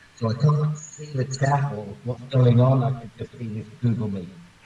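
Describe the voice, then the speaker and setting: A man talks at a moderate pace in a medium-pitched voice with fairly even intonation. There is noticeable background noise. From Britain. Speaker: live stream guest. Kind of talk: casual chat. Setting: video call.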